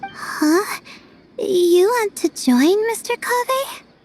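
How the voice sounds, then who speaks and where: A woman speaks in a cartoonish character voice pitched extremely high, moving at a very slow pace with very wide pitch swings, the sound dry and close with no echo and music playing in the background. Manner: soft, hesitant.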